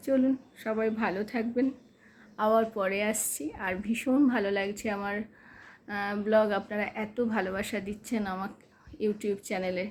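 A soft-spoken woman's fairly high voice with fairly even intonation. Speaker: family vlogger. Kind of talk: casual vlog narration. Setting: at home.

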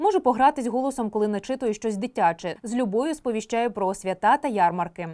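The speech moves at a fairly quick pace with hardly any pauses, lively intonation and a dark, mellow tone. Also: woman, fairly high pitch for a woman. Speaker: announcer for city metro. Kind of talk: interview answer.

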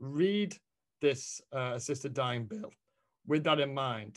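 Against a quiet background, a speaker with a British accent talks at a moderate pace with lively intonation. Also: man. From England. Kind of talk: academic presentation. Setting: video call. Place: home room. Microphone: video call.

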